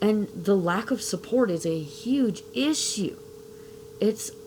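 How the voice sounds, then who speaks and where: Noticeable noise sits in the background. The voice rises and falls with lively intonation. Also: woman. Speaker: parent giving testimony. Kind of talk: testimony. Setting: video with face mask.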